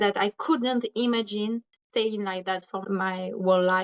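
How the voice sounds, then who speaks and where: A woman speaks at a fairly high pitch. She has a French accent. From France. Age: 20s. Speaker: recovered patient. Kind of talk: interview. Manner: halting.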